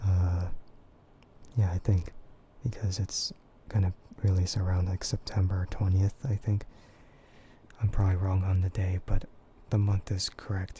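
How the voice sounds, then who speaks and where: The speaker is soft-spoken, with a relaxed tone at a moderate pace. Long pauses come often. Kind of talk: casual talk to camera, livestream chat; ASMR soft voice. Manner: soft, relaxed, quiet.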